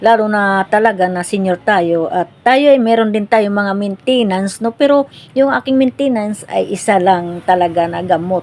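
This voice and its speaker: A woman talks in an ordinary speaking voice with ordinary pitch variation. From Philippines, provinces. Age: 60s. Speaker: cooking vlogger. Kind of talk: casual cooking vlog chat.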